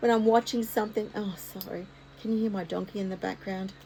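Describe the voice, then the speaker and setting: Medium pitch from a woman with an Australian accent. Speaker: art content creator. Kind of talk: casual vlog talk to camera. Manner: occasional stutter.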